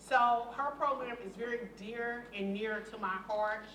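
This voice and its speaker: Noticeable background noise and audible room echo fill this recording. A woman speaks over it with fairly even intonation. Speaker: community engagement director. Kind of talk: board meeting presentation. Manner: loud. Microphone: no microphone.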